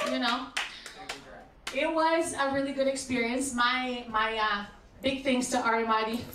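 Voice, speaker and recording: A woman talks at a moderate pace with fairly even intonation, amid audible room echo and noticeable background noise. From Brazil. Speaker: stand-up comedian. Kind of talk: stand-up.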